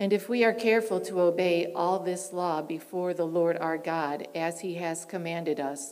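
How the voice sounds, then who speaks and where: With a plain, everyday voice, a woman speaks at a moderate pace and a fairly low pitch. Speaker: scripture reader. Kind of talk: scripture reading. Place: church. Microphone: podium.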